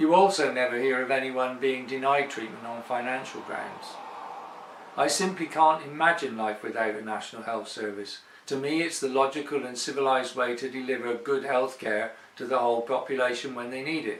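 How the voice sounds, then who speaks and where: A man with an English accent and a medium pitch talks at a fairly quick pace with ordinary pitch variation, over noticeable background noise and audible room echo. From England. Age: 60s. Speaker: expatriate sharing healthcare experience. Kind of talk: personal testimony.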